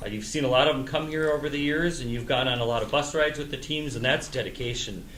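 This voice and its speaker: A man speaks very fast with hardly any pauses, his fairly high voice held to a fairly even intonation over noticeable background noise. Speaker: local sports show host. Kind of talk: local sports show host talk.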